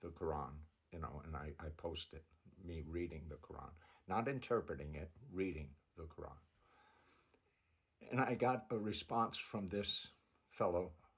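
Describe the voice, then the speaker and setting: At a moderate pace with long, frequent pauses, a man with an American accent speaks in a very deep, low, somewhat breathy voice. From United States. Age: 70s. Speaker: religious video creator. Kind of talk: personal testimony. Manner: halting.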